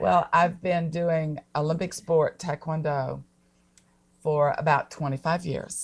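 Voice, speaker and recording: Very deep, low woman's voice with an American accent, somewhat breathy, with fairly even intonation and a very slow pace. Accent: Southern US, genteel. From US South, Atlanta, Georgia. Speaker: taekwondo athlete, guest. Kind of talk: casual interview chat. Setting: live stream.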